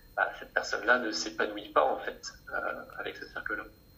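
A man talks over noticeable background noise. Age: 20s. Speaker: coach and therapist. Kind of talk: interview. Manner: relaxed.

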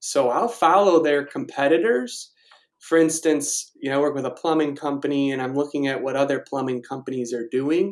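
At a moderate pace, a man with a Chicago accent talks in a fairly high pitch with ordinary pitch variation. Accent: Chicago-area American. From Chicago suburbs, Illinois (Naperville). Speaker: digital marketing freelancer. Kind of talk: interview.

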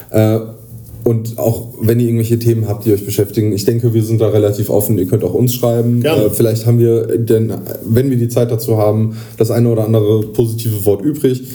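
Over noticeable background noise, a man talks fairly quickly at a medium pitch. His intonation is monotone and flat, and his loudness stays very even. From northern Hesse, near Kassel. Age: 30s. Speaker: podcast host, psychiatric rehab patient. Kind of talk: casual chat. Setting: patient room in a rehab clinic. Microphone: poor recording quality.

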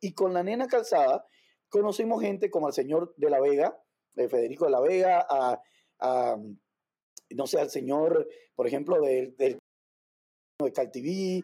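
A man with a Cuban accent speaks at a moderate pace in a high voice, his tone dark and mellow and his intonation lively. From Cuba, Havana. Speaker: dancer and entrepreneur. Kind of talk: interview.

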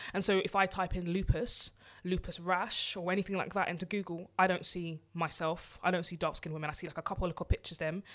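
Speaking at a very fast pace with hardly any pauses, a woman keeps a fairly low pitch and monotone, flat intonation. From England. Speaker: podcast co-host. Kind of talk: casual chat.

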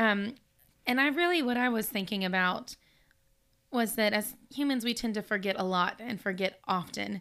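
A woman speaks at a moderate pace with a bright, sharp tone and ordinary pitch variation, leaving long, frequent pauses. The recording is very clean, with a silent background. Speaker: podcast co-host leading the study. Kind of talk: Bible study discussion.

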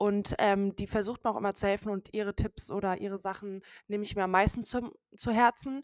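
Dry and close with no echo, a woman speaks at a fairly quick pace with monotone, flat intonation. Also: medium pitch for a woman. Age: 20s. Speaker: social media creator. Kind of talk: casual chat. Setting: online call from separate locations.

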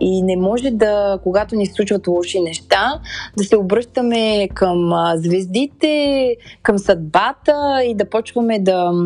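The woman's voice sits at a medium pitch. She talks very slowly with lively intonation. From Bulgaria, Sofia. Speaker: podcast host. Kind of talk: personal monologue. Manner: halting.

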